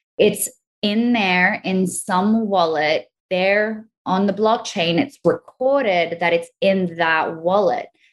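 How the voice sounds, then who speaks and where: A medium-pitched woman with an Australian accent and ordinary pitch variation. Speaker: crypto educator. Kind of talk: casual interview chat.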